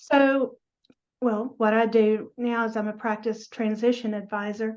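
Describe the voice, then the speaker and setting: A woman with a Southern US accent speaks at a fairly slow pace in a fairly high pitch. Her intonation is monotone and flat, over a quiet background. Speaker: dental practice transition advisor. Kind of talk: interview.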